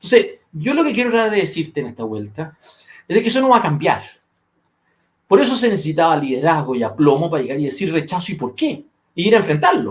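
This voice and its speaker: A man speaks in a high pitch at a very fast pace, his animated tone leaping through very wide pitch swings. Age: 50s. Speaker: political commentator. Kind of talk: political discussion podcast.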